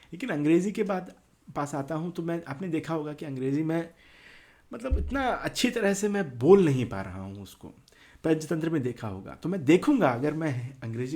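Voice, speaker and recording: A man with a Telangana accent speaks at a fairly high pitch in a dark, mellow tone with lively intonation, on a very clean recording with a silent background. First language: Telugu (speaking Hindi). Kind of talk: casual talk to camera. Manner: halting, many fillers.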